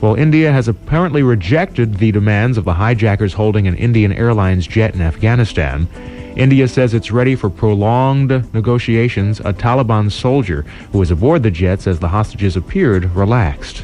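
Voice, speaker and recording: Music plays behind a man with fairly low pitch and lively intonation. He talks at a fairly quick pace, his loudness very even. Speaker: radio DJ. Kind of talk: radio DJ aircheck, smooth jazz station break. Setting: radio broadcast.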